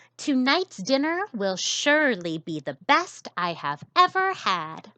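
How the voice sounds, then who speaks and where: A woman puts on a character voice, pitched high and swinging very widely. She talks at a fairly slow pace. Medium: read story. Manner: warm, gracious.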